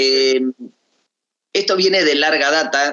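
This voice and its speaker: A man at a very slow pace. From Tierra del Fuego, Argentina. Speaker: musician and actor. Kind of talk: radio interview. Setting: Skype call.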